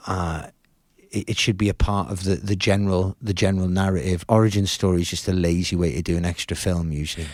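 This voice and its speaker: A man's very deep, low voice at a very fast pace, with fairly even intonation, on a very clean recording with a silent background. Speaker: rock musician. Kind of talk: podcast interview. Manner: halting, repeats words.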